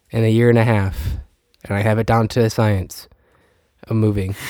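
The voice is nasal, with a slightly mellow tone. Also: man.

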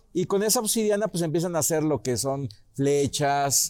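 A man talks at a fairly slow pace with ordinary pitch variation. His tone is dark and mellow. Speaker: local history teacher. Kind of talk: informal history talk. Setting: restaurant.

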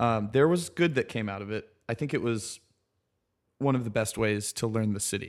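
An unremarkable speaking voice from a man with an American accent, medium pitch, ordinary pitch variation and a moderate pace, on a very clean recording with a silent background. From US South, South Carolina. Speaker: architect. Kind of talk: casual interview. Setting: in person, Brooklyn.

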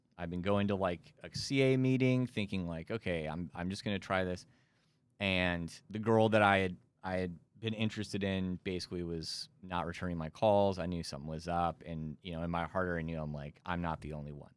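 Very deep and low, a man's voice moves at a fairly quick pace with ordinary pitch variation. The recording is very clean with a silent background. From Texas Panhandle, Amarillo. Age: 30s. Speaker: recovery podcaster and volunteer. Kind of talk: testimony. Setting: studio.

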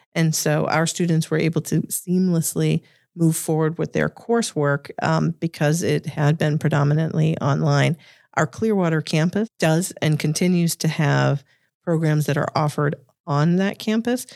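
A woman with a very deep, low pitch and a slight Boston accent speaks at a moderate pace with ordinary pitch variation and very even loudness. The sound is dry and close with no echo, the recording very clean over a silent background. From Massachusetts, Boston area. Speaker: executive and chief legal officer. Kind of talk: interview conversation.

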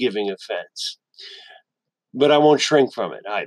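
A man in a plain, everyday voice, fairly high in pitch with ordinary variation, recorded dry and close with no echo against a quiet background. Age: 60s. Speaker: podcaster. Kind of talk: monologue. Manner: formal.

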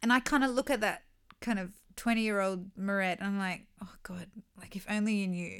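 A plain, everyday voice at a fairly quick pace, with big swings in loudness and fairly even intonation. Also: woman, medium pitch for a woman. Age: 30s. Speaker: podcast co-host, mother. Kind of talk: casual chat.

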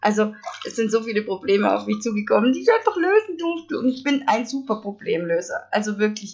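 A woman with a Swabian accent talks at a fairly quick pace, using a fairly high pitch and lively intonation. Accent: Swabian, noticeable. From Stuttgart area, Swabia. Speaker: podcaster. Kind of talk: casual monologue. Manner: animated.

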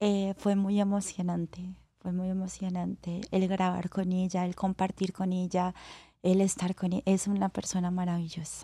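Over a very clean recording with a silent background, a woman speaks at medium pitch in a dark, mellow, somewhat breathy tone with monotone, flat intonation. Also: moderate pace. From Colombia, Cali. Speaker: professional acrobatic dancer. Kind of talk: interview.

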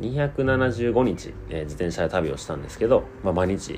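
Noticeable background noise sits behind a man whose voice makes very wide pitch swings. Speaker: podcast host. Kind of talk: casual monologue.

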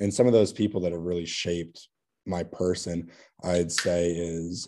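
This man has a very deep, low pitch and a dark, mellow tone. He speaks with an American accent. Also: quiet background. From US West Coast, Oregon. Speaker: college golfer. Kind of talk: casual interview.

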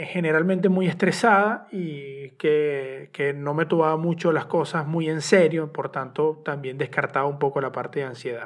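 A man speaks with a Venezuelan accent. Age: 30s. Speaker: podcast host and journalist. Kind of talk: solo personal podcast monologue. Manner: halting, repetitive.

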